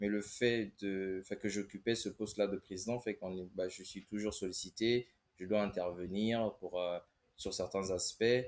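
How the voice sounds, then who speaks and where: The voice moves at a fairly slow pace with monotone, flat intonation. It is a very clean recording against a silent background. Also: man. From Congo. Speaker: engineering consultant. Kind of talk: casual interview.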